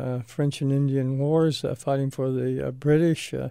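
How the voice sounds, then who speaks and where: At a moderate pace, a man with an American accent delivers a dark, mellow tone at a fairly high pitch, his intonation flat and monotone. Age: 60s. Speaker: retired army colonel and radiologist. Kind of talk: radio interview. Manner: halting, many fillers.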